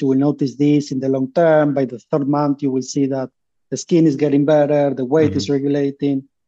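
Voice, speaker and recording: The tone is dark and mellow, with a Spanish accent. The pace is fairly quick. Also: man. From Uruguay. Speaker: startup founder. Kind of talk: interview.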